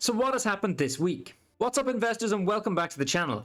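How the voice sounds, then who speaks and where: Very fast speech from a man with an Irish accent and very wide pitch swings, in a very clean recording with a silent background. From Ireland. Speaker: stock market YouTuber. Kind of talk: video commentary on stock news.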